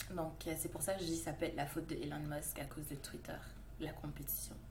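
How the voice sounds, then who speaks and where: A woman speaks at a fairly quick pace with a slight Canadian French accent, and the room echo is audible. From Montreal, Quebec. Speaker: SEO expert, podcast co-host. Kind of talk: casual chat.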